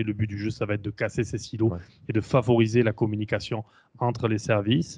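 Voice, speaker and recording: Over a quiet background, a man speaks at a moderate pace in a fairly low pitch, his intonation monotone and flat. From France. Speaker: quality and safety engineer, account director. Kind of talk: interview. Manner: hesitant, many fillers.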